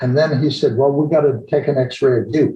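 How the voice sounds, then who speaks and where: This man's pitch sits fairly high, and his tone is dark and mellow. His voice is also somewhat breathy. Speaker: retired-age chiropractor. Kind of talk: storytelling interview. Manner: halting.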